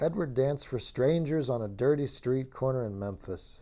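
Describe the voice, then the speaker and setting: A man talks with a dark, mellow tone at a medium pitch. The recording is very clean, with a silent background. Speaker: audiobook reader, comedian and channel host. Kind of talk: soothing bedtime book reading.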